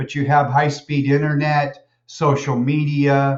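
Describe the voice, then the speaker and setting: Using a plain, everyday voice, a man with a fairly high pitch talks at a fairly slow pace. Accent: American. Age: 60s. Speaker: college lecturer. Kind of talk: lecture.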